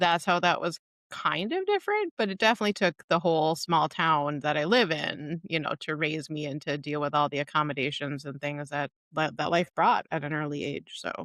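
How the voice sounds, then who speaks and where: Delivered at a moderate pace with a slight northern Minnesota accent, the speech is captured in a very clean recording with a silent background and a dry, close sound without echo. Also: woman, very deep, low pitch for a woman, ordinary pitch variation. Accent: slight Canadian-tinged northern Minnesota. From northern Minnesota, North Shore of Lake Superior. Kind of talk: casual interview conversation.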